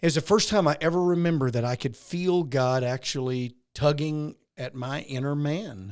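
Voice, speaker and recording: This man has an American accent and a fairly high pitch, with ordinary pitch variation. He talks at a moderate pace on a very clean recording with a silent background. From western Arkansas. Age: 60s. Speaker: pastor. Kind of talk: podcast interview, personal testimony.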